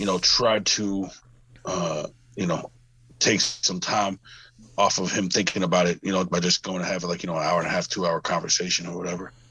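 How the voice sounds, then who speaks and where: A man speaks at a fairly quick pace in a very deep, low voice with monotone, flat intonation. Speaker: podcast guest. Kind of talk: casual chat. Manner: reserved, low-key.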